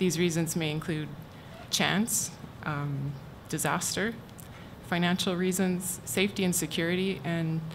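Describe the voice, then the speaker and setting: Soft-spoken, a woman talks at a moderate pace and a fairly low pitch. Her intonation stays fairly even amid audible room echo. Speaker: university archivist. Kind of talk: conference talk.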